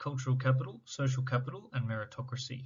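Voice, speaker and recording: At a very fast pace, a man speaks in a medium-pitched, somewhat breathy voice. His intonation stays fairly even. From Sydney, Australia (lower Blue Mountains, western suburbs). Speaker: education student. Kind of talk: scripted presentation. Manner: formal.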